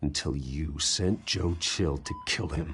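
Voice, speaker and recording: A man's put-on character voice, growling and very deep in pitch, with ordinary pitch variation at a fairly slow pace. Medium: video game. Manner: cold, controlled.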